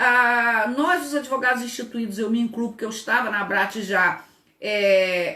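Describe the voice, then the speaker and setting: A high-pitched woman with lively intonation at a moderate pace, with audible room echo and noticeable background noise. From Brazil, Rio de Janeiro. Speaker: labor law professor and lawyer. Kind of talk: online lecture. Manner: animated.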